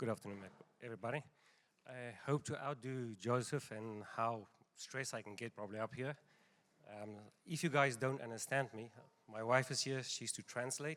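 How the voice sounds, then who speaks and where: A man with a strong South African accent speaks at a moderate pace with fairly even intonation and big swings in loudness. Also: medium pitch for a man. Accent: South African accent, still strong. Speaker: pharmacy owner. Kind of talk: seminar presentation.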